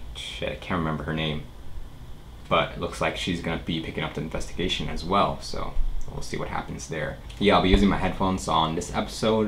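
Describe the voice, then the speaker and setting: A man with a very deep, low pitch speaks at a very fast pace with lively intonation. Audible room echo and noticeable background noise fill the recording. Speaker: anime reaction youtuber. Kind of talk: casual chat.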